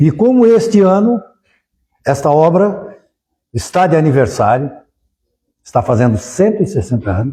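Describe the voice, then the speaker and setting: Pitched high, a man's voice with a dark, mellow tone makes very wide pitch swings. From southern Brazil, Criciúma (Santa Catarina). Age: 70s. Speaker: spiritist lecturer, lawyer. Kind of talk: public lecture.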